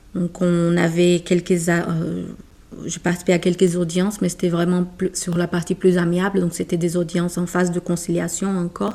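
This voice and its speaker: Speaking with a Portuguese accent, a woman uses a fairly low pitch and a dark, mellow tone in a monotone, flat delivery. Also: moderate pace. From Brazil. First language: Portuguese (speaking French). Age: 30s. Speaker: corporate lawyer. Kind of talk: interview. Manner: halting.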